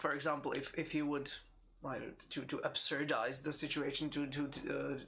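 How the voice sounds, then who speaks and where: A man with a Czech accent speaks at a moderate pace in a fairly high voice with vocal fry. His tone is bright and sharp, and his intonation stays flat and monotone. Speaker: game designer. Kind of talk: live Q&A stream. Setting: live stream. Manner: halting, many repetitions.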